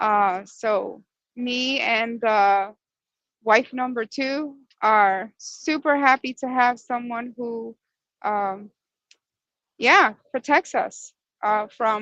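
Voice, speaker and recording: In a quiet background with a dry, close sound and no echo, a woman speaks very slowly in a fairly high pitch with a bright, sharp tone, ordinary pitch variation, and long, frequent pauses. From Dominican Republic. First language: Spanish. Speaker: podcast co-host. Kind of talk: casual chat. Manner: robotic, scripted-sounding.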